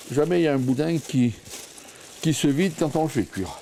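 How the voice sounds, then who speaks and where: A man speaks at a moderate pace. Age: 60s. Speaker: villager, pig butcher. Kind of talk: casual chat.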